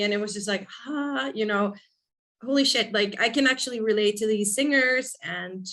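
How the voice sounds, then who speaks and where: In a very clean recording with a silent background, a woman talks at a moderate pace with ordinary pitch variation. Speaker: rock band lead singer. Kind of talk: interview.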